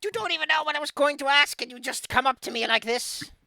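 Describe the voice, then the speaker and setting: In a put-on character voice, the speaker talks at a very fast pace with a high pitch. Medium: actual play. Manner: cackling, condescending.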